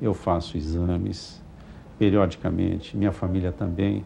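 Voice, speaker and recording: A man's dark, mellow tone at a very slow pace. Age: 60s. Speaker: physician. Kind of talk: TV interview.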